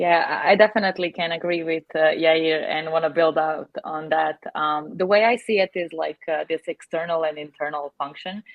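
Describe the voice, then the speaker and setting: A woman speaks at a moderate pace with a non-native accent, her fairly low voice keeping a fairly even intonation and hardly any pauses. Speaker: customer success head. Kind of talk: panel discussion. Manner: hesitant, many fillers.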